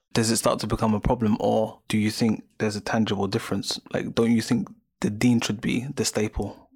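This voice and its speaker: A man talks at a fairly quick pace in a normal speaking voice with a medium pitch. His intonation is fairly even and his loudness very even. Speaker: podcast host. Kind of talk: interview conversation.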